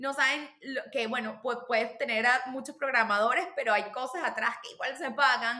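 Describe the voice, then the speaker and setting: Over noticeable background noise, a high-pitched woman speaks at a moderate pace with hardly any pauses and ordinary pitch variation. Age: 30s. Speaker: marketing specialist and nonprofit cofounder. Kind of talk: podcast interview. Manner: halting.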